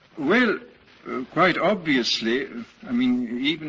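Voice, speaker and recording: Noticeable background noise sits behind a man whose intonation is lively though his delivery is fairly slow. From Britain. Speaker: writer and philosopher. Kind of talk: lecture.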